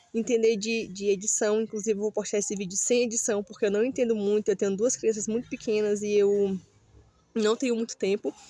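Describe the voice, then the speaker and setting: A woman speaks at a fairly quick pace with a fairly high pitch, a dark, mellow tone and fairly even intonation, recorded with a dry, close sound and no echo. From Brazil, Ceará (Northeast). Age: 30s. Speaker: vlogger. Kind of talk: casual vlog monologue. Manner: halting, many fillers.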